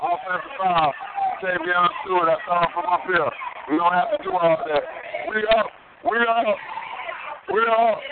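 Over noticeable background noise, the speaker has an animated tone and lively intonation at a moderate pace, with long, frequent pauses. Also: man, high pitch for a man. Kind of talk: live commentary. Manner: animated, punchy, exclaiming.

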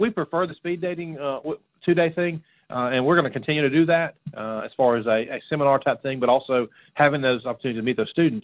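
Very fast speech from a man with fairly high pitch, ordinary pitch variation and an American accent. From Florida. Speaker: radio show co-host, youth ministry. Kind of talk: casual chat.

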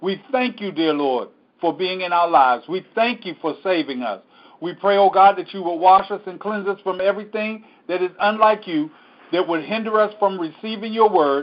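A man talks at a high pitch in an animated tone. His pitch varies in an ordinary way. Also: moderate pace. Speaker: preacher. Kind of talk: Bible study teaching with prayer, preaching style. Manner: animated, fervent, exhorting; conversational, repeating for emphasis.

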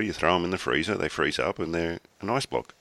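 A man with an Australian accent, a bright, sharp tone and vocal fry. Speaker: podcast host. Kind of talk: casual chat.

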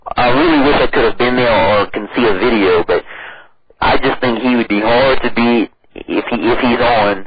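A moderate pace with an American accent, ordinary pitch variation and very even loudness, over noticeable background noise. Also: man, medium pitch for a man. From US South, southeast Louisiana Cajun. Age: 30s. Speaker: powerlifter and dietitian. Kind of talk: interview.

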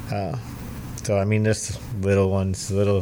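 Over noticeable background noise, a man with an American accent talks in a flat monotone at a fairly low pitch. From Massachusetts, Cape Cod. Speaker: amateur boxing coach and promoter. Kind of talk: casual interview.

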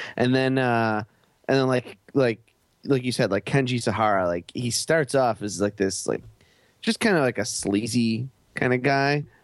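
A man with an unremarkable speaking voice talks at a moderate pace in a medium pitch, with ordinary pitch variation and very even loudness. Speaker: podcaster guest. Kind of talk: casual chat.

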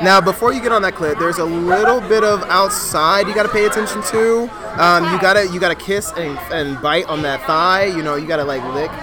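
With crowd noise in the background, the speaker talks in an animated tone at a fairly quick pace with hardly any pauses. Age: 20s. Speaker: podcast host. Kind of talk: casual chat. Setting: restaurant.

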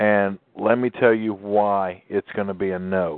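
A man talks with a fairly even intonation. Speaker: talk radio host. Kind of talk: call-in radio talk.

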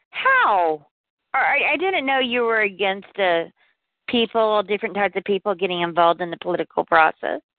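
Moderate pace and ordinary pitch variation from a woman at a medium pitch. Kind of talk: casual group chat. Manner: animated.

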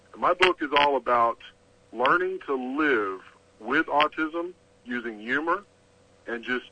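A man speaks at a moderate pace. His voice sits fairly high. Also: dry, close sound with no echo. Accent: Texan. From Texas. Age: middle-aged. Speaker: author. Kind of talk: interview.

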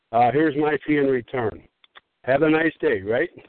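A man speaks at a moderate pace with an American accent. His pitch is fairly high. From Illinois. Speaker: caller. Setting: phone call.

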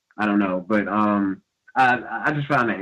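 At a moderate pace, a man speaks with a fairly low pitch and ordinary pitch variation. His is an unremarkable speaking voice. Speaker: caller. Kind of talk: call-in question.

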